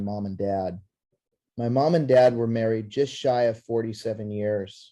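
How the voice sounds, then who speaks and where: The man speaks in a dark, mellow tone. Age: 60s. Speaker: network marketing presenter. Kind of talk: sales pitch.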